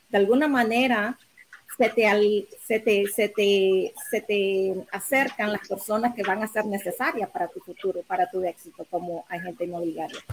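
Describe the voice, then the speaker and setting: Noticeable background noise sits behind a woman talking at a moderate pace and a medium pitch. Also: ordinary pitch variation. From Nicaragua. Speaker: real estate agent and mortgage lender. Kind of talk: panel discussion. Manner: halting, with fillers.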